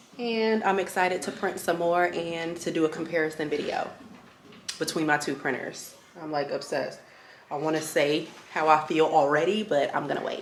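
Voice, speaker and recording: Amid audible room echo, a woman speaks at a moderate pace with a very deep, low pitch and ordinary pitch variation. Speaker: small business owner and product reviewer. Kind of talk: product review vlog. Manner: animated; loud.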